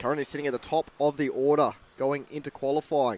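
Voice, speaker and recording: The man's medium-pitched voice carries an Australian accent and a monotone, flat intonation. He talks fairly quickly, in a dry, close sound with no echo. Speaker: RC racing commentator. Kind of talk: live race commentary. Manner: fast.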